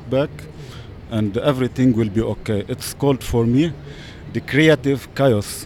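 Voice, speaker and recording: Over noticeable background noise, a man speaks with an Arabic accent and ordinary pitch variation. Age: 40s. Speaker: web designer. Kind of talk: street interview.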